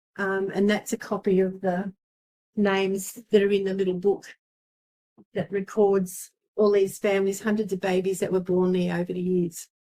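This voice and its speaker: A woman's dark, mellow, medium-pitched voice with an Australian accent, flat and monotone at a moderate pace. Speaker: local historian. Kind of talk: talk to a seniors' group. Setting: community centre talk with audience. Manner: halting, many ums.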